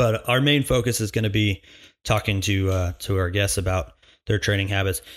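Very clean and set against a silent background, this recording has a man speaking in a normal speaking voice at a fairly low pitch and a fairly quick pace, his loudness very even and his pitch varying in an ordinary way. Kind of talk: solo podcast intro and monologue. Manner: casual, joking, filler words.

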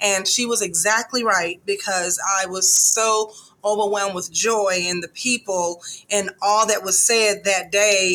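Over noticeable background noise, the speech comes at a fairly slow pace in a monotone, flat intonation. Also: woman, medium pitch for a woman. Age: 50s. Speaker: breast cancer survivor and patient advocate. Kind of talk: interview testimony.

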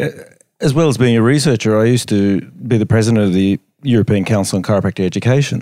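A man with an Australian accent talks very fast at a medium pitch, with ordinary pitch variation and a dark, mellow tone. His loudness stays very even, and the recording is very clean with a silent background. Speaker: chiropractic researcher. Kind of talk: casual chat. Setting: hotel room.

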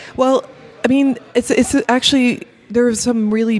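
There is noticeable background noise in this clip. The speaker is a woman with an American accent. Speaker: cellist and composer. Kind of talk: casual chat. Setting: studio.

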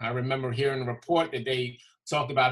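In an American accent, a man talks at a moderate pace. He has an unremarkable speaking voice with a fairly high pitch. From Brooklyn, New York. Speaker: basketball referee. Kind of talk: casual chat.

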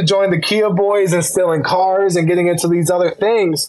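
At a moderate pace, a man talks in a high voice with fairly even intonation. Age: 19. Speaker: school board member and student. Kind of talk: interview. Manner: halting.

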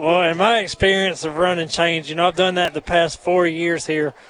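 Fairly even intonation marks a man's speech at a moderate pace. His pitch is high for a man, over noticeable background noise. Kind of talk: live color commentary alongside play-by-play, coach's analysis. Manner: earnest, casual, analytical; halting with filler and restarts.

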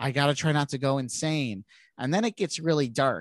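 There is no echo in this dry, close sound of a man speaking at a moderate pace with ordinary pitch variation. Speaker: podcast co-host. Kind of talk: casual chat.

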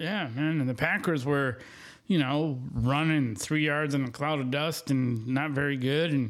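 A man with a normal speaking voice talks at a moderate pace with a fairly high pitch and fairly even intonation. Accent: American. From Wisconsin, US Midwest. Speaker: sports podcast co-host. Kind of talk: casual chat.

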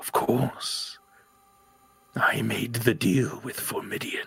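A put-on character voice at a very slow pace. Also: man, medium pitch for a man. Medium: actual play. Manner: terse, commanding.

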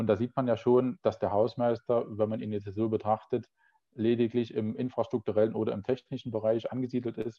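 With monotone, flat intonation, a man speaks fairly quickly at a medium pitch. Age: 30s. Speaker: facility management sales professional. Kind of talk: interview conversation.

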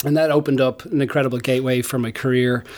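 An Irish accent marks this man's medium-pitched voice, his intonation fairly even. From Ireland. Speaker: tech company founder and CEO. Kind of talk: interview.

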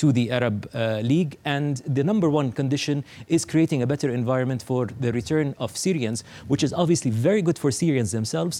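Here a man talks at a fairly quick pace, with medium pitch and lively intonation. His tone is dark and mellow, on a very clean recording with a silent background. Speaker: newspaper editor. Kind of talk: tv interview. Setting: studio. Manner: halting, many fillers.

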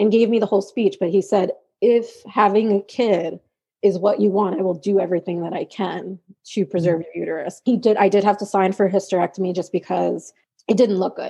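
With an American accent, a woman of medium pitch talks at a fairly quick pace in a dark, mellow tone with fairly even intonation. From New York. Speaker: special education teaching assistant and grad student. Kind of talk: casual interview chat.

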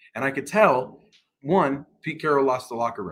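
An animated man at medium pitch, with lively intonation. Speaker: podcast co-host. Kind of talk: casual chat. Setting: recording on laptop.

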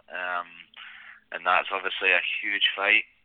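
A man speaks with a Scottish accent. His pace is fairly slow. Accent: Scottish brogue. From Scotland. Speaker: mixed martial arts fighter. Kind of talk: interview.

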